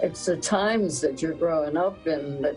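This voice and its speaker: A woman's very deep, low voice with ordinary pitch variation, over music in the background. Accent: American. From South Jersey, Camden. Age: 80s+. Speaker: retired dance teacher. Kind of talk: interview.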